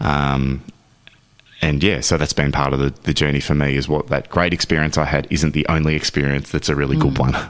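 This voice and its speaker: With noticeable background noise behind him, a man with a very deep, low voice talks at a fairly quick pace in a monotone, flat intonation at very even loudness. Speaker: father, men's health and equality advocate. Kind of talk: radio interview answer. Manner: conversational, reflective.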